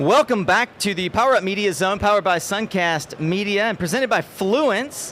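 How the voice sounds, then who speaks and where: Loud speech at a fairly slow pace. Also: man. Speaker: conference livestream host. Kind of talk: live event interview hosting. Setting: live stage with audience at conference.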